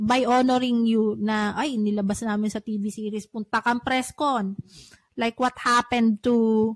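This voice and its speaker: In a normal speaking voice, a woman talks fairly slowly at a fairly high pitch with fairly even intonation, the sound dry and close with no echo on a very clean recording with a silent background. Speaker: podcast host, writer and publisher. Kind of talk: casual chat.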